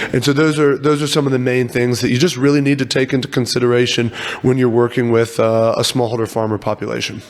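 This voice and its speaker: A man with an American accent and medium pitch, at a very fast pace with hardly any pauses, fairly even intonation and very even loudness, over noticeable background noise. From US, Virginia. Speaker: startup CEO. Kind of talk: podcast interview.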